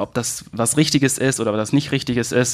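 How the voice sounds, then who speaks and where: This is a man with a normal speaking voice at a medium pitch. He talks at a moderate pace with fairly even intonation. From Hesse, Germany (Manderbach). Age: 30s. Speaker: youth ministry worker. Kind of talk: interview with personal faith testimony.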